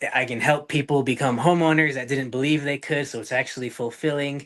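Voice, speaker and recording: A man speaks with an American accent. His voice is fairly high, with ordinary pitch variation. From US, northern Utah. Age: 20s. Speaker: real estate investor. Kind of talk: podcast interview. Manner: halting with many fillers.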